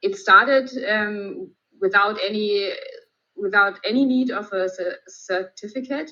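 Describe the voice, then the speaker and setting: A woman with a German accent speaks in a fairly high pitch and a bright, sharp tone, with ordinary pitch variation. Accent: German accent (non-native English). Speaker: emergency physician. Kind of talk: lecture. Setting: video call. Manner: hesitant, many fillers.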